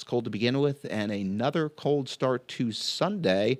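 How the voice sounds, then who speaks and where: On a very clean recording with a silent background, a man with an ordinary speaking voice talks at medium pitch and a moderate pace with lively intonation. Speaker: TV meteorologist. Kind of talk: weather forecast. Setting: studio. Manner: casual with frequent fillers.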